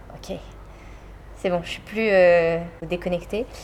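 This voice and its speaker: Her dark, mellow tone sits at a medium pitch as this woman talks. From France, village south of Orléans. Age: 30s. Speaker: photographer and artist. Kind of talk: interview. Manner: casual, hesitant with frequent fillers.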